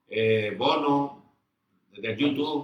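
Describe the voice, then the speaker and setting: The man's voice sits at a medium pitch. It moves up and down in a typical way. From Mexico, Tepic, Nayarit. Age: 70s. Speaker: veteran rock musician. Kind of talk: interview.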